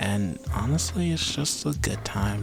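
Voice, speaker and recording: Noticeable background noise sits behind a man. He speaks at a fairly slow pace in a calm, relaxed tone. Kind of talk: ASMR vlog, casual soft-spoken talk to camera. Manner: soft, calm, relaxed.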